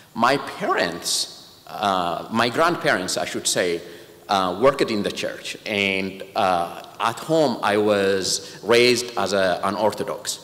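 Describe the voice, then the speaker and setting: A man with an Ethiopian accent speaks very slowly at a fairly low pitch. Noticeable background noise and audible room echo fill the recording. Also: lively intonation. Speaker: patient advocate, organization president. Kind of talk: speech. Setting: church.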